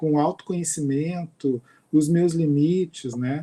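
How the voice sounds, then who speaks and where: Speaking at a fairly slow pace, a man has a fairly high pitch, a dark, mellow tone and ordinary pitch variation. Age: 50s. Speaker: university professor and researcher. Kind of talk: lecture.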